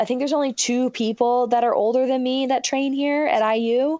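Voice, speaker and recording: Against a quiet background, a woman with an American accent speaks at a moderate pace and a high pitch. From Michigan. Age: 20s. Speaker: professional swimmer. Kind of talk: casual interview.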